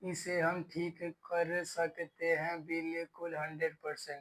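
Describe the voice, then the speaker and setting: Speaking in a monotone, flat intonation, a man has a high pitch and a bright, sharp tone. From Delhi, India. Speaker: stammering course student giving testimonial. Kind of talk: testimony. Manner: slow, deliberate.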